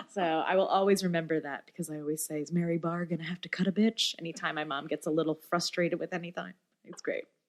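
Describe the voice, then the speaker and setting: With an American accent, a woman talks at a very fast pace in a fairly low pitch. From upstate New York. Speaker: singer-songwriter and bassist. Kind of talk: interview storytelling. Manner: animated.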